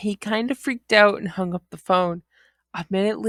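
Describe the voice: The voice is plain reading aloud. The background is quiet.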